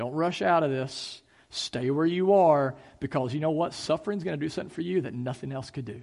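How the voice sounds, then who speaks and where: Over a quiet background, a man with an ordinary speaking voice talks at a fairly quick pace, his pitch fairly high and its variation ordinary. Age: 30s. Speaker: pastor. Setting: church service, in person and streamed online. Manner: earnest, conversational preaching with rhetorical questions and repetition; casual filler-laden delivery with ums and uhs.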